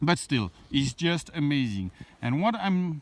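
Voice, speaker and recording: Lively intonation marks this man's fairly high-pitched voice. He keeps a moderate pace. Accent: French. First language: French. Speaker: landscape photographer. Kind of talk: outdoor vlog tutorial. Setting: outdoors. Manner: hesitant, many fillers.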